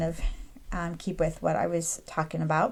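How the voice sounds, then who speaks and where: At a moderate pace, a woman talks in an ordinary speaking voice with fairly low pitch. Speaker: craft and printables tutorial creator. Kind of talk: screen-recorded software tutorial. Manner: casual with frequent fillers (um, uh).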